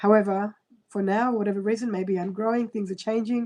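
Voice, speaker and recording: Speaking at a fairly quick pace, a woman uses a medium pitch, fairly even intonation and a dark, mellow tone. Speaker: astrologer. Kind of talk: live-stream horoscope reading. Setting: live stream on computer. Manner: fast.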